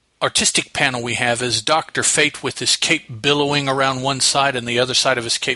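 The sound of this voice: The voice reads without strain. Its intonation is mostly level.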